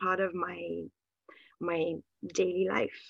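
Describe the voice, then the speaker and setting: Speaking very slowly, a woman with a Bulgarian accent and medium pitch comes through dry and close with no echo. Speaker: writer and literary translator. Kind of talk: interview answers. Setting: video call. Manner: hesitant with fillers.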